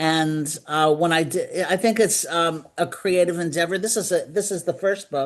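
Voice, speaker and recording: A New York accent at a moderate pace with ordinary pitch variation. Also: woman. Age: 70s. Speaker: decluttering consultant and author. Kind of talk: interview.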